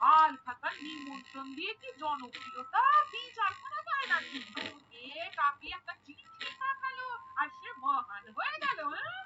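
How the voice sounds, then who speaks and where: A female-sounding cartoonish character voice speaks fairly slowly at an extremely high pitch with very wide pitch swings. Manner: chiding, down-to-earth.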